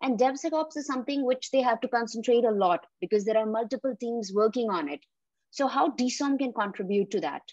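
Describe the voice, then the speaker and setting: A woman with an ordinary speaking voice, fairly high in pitch, uses lively intonation at a fairly quick pace, recorded dry with no echo over a quiet background. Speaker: interview host. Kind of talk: interview.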